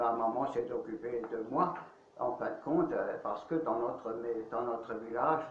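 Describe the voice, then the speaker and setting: Fairly slow speech in an Alsatian accent, with noticeable background noise and audible room echo. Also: man. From Alsace, France. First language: Alsatian (speaking French). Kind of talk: interview, life testimony. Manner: hesitant, many fillers.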